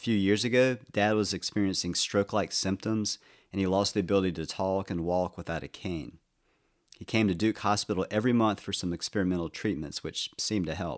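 The recording is very clean with a silent background, dry and close with no echo. A plain, everyday voice speaks at a fairly quick pace with fairly even intonation. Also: man, fairly low pitch for a man. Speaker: podcast narrator. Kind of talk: scripted personal narration, reflective memoir storytelling about aging parents. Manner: measured; tender, wistful.

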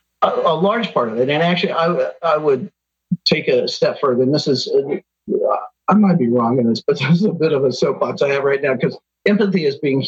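A man's fairly high, somewhat breathy voice with lively intonation, very even loudness and a fairly quick pace. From Kansas, US Midwest. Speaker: psychologist and workplace consultant. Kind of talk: interview. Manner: hesitant with frequent fillers.

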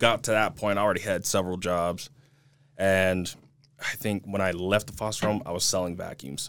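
Using an unremarkable speaking voice, a man talks at a moderate pace with a fairly low pitch and fairly even intonation. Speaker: real estate agent. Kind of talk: casual chat. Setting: studio.

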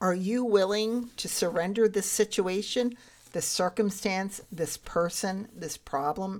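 A woman's plain, everyday voice at a medium pitch and a fairly slow pace, on a very clean recording with a silent background. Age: 60s. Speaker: faith podcast host and life coach. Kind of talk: faith-based storytelling monologue. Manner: laughs often while speaking.

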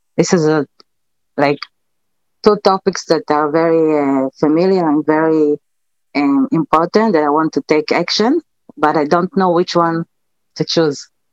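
A woman with a non-native accent speaks at a fairly slow pace in a very deep, low voice, the sound dry and close with no echo. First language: not English. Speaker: live stream caller. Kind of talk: call-in question. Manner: halting.

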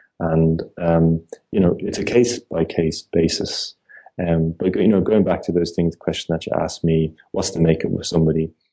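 In an Irish accent, a man with a very deep, low pitch and a dark, mellow tone talks at a moderate pace with fairly even intonation. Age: 30s. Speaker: entrepreneur. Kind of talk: casual chat. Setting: phone call. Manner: halting.

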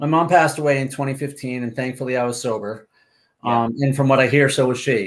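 A man with an American accent talks at a fairly quick pace in an ordinary speaking voice. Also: medium pitch for a man, fairly even intonation. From Massachusetts (Martha's Vineyard), New England. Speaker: author and amateur athlete. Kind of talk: casual interview.

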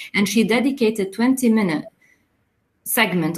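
A woman with a fairly high, somewhat breathy voice talks at a moderate pace, her pitch varying in an ordinary way. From Lebanon, Mount Lebanon. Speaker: theater director and professor. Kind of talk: interview.

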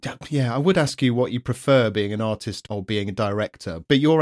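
A man speaks with a British accent at a moderate pace, his pitch varying in an ordinary way. The sound is dry and close, with no echo. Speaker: podcast host. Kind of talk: casual interview.

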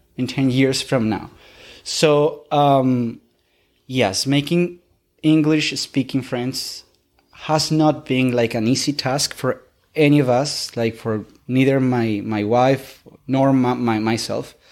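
In a very clean recording with a silent background, a man with a Spanish accent speaks at a very slow pace and medium pitch, his intonation fairly even. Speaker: English learner, immigrant. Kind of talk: interview. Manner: halting, with repetitions.

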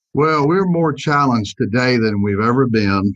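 A man's Southern US accent at a moderate pace. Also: dry, close sound with no echo. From US South. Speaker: insurance agency owner. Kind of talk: interview.

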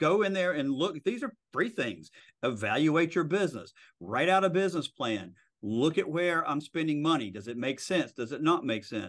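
With vocal fry, a man speaks at a fairly high pitch, his voice making very wide pitch swings at a moderate pace. The background is quiet. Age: 50s. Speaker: real estate broker and lawyer. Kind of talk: interview.

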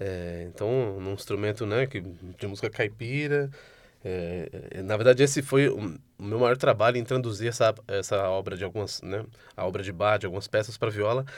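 In a very clean recording with a silent background, a man speaks at a moderate pace in a fairly low voice with ordinary pitch variation. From Brazil, São Paulo city. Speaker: multi-instrumentalist musician. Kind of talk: interview. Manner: halting.

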